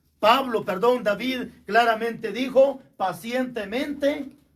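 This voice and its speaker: There is noticeable background noise as a man speaks at a fairly slow pace with ordinary pitch variation. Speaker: pastor. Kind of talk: sermon.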